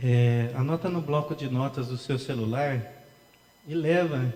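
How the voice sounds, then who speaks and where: Soft-spoken, a man talks at a medium pitch with ordinary variation. Noticeable background noise is present. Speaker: pastor. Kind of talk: sermon. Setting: church.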